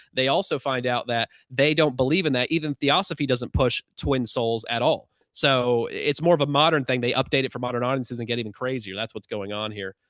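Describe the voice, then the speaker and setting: This man speaks at a medium pitch with ordinary pitch variation. He leaves hardly any pauses. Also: fairly quick pace. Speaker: researcher of astral travel and entity contact. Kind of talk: podcast interview. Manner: fast; animated.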